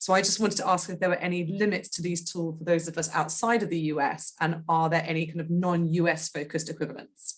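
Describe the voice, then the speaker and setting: Somewhat breathy and with a British accent, the speech comes at a very fast pace with hardly any pauses. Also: woman, fairly low pitch for a woman, fairly even intonation. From Britain. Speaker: audience member asking question. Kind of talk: question in webinar.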